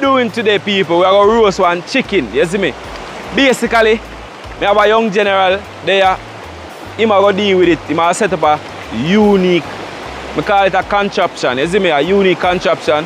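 A man with a high pitch talks at a fairly quick pace with ordinary pitch variation, in a dry sound with no echo but noticeable background noise. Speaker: outdoor cooking vlogger. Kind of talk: casual vlog chat. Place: waterside.

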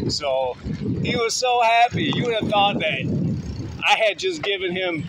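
Loud background noise runs under a man's voice, which has a dry sound with no echo. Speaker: vlogger. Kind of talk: casual vlog chat. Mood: cheerful, upbeat. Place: bicycle. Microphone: phone near.

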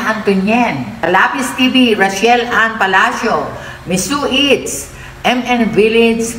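The speech comes at a very slow pace with ordinary pitch variation, along with audible room echo and light background noise. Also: woman. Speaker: mukbang vlogger. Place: home room. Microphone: phone near.

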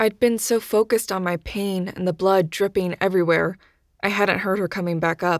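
Reading done in an unforced voice

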